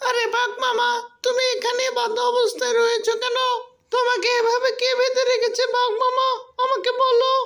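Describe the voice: A cartoonish character voice with an extremely high pitch, monotone, flat intonation and a fairly slow pace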